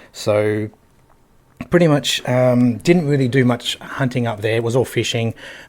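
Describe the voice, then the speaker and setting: Here a man talks with an Australian accent at a medium pitch. His pace is moderate and his pitch variation ordinary. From Australia, Northern Territory (Darwin). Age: 40s. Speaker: hunter. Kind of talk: casual chat.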